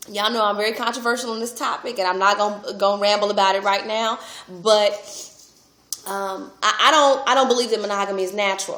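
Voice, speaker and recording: Amid audible room echo, a woman speaks at a very fast pace with fairly even intonation. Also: medium pitch for a woman. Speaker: relationship speaker and vlogger. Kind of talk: casual vlog monologue.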